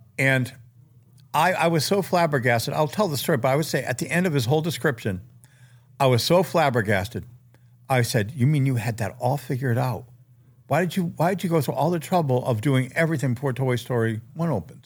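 Here a man speaks at a fairly quick pace with medium pitch, lively intonation and a somewhat breathy voice. The recording is very clean, with a silent background. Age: 60s. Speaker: toy designer and artist. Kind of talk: casual chat.

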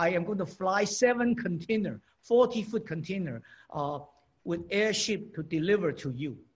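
A man with a Chinese accent and a high pitch. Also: lively intonation, moderate pace. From China. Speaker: inventor and entrepreneur. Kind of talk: interview. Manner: halting.

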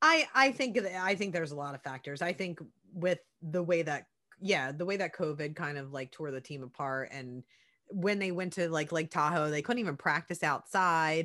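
A woman with a Philadelphia accent speaks at a moderate pace and fairly low pitch. Her tone is bright, sharp and animated against a quiet background. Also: ordinary pitch variation. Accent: Philadelphia American. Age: 30s. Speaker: podcast co-host, sports broadcaster. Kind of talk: casual chat.

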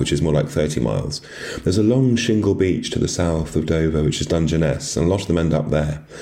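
A man with a very deep, low voice and a British accent talks at a fairly quick pace amid noticeable background noise. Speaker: writer. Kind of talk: interview.

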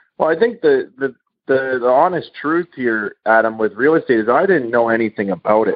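A man with a Canadian accent and an unremarkable speaking voice, medium in pitch, fairly quick in pace, with ordinary pitch variation. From Canada, Manitoba. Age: 30s. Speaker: real estate investor and author. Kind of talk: interview.

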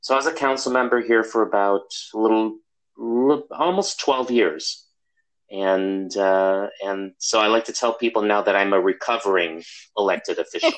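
A man with an American accent and an unremarkable speaking voice talks at a moderate pace and medium pitch, with ordinary pitch variation and very even loudness. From US Midwest, Chicago. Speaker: social work professor. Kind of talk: interview.

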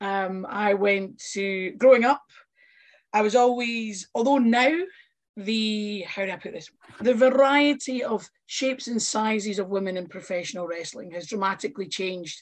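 A Scottish accent at a moderate pace, with ordinary pitch variation and big swings in loudness. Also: woman, fairly high pitch for a woman. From Scotland, Fife (Kirkcaldy). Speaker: pro wrestler. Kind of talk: casual chat.

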